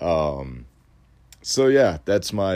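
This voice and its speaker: Over a silent background in a very clean recording, a man talks at a very slow pace. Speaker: solo podcast host. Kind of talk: casual monologue. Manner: many fillers and hesitations.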